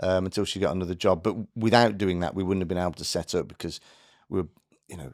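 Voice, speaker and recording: A man talking at a very fast pace with fairly even intonation and big swings in loudness, on a very clean recording with a silent background. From Birmingham, English Midlands. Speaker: business founder. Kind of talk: podcast interview. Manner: many fillers and restarts.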